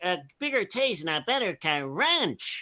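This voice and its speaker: A put-on character voice at a middle pitch, cheerful in tone, with very wide pitch swings, a fairly slow pace and a quiet background. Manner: cartoonish, cheerful.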